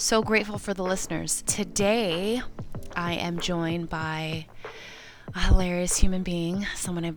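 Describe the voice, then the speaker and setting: Music plays in the background as a woman with a fairly low pitch speaks at a fairly slow pace. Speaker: podcast host. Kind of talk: podcast intro.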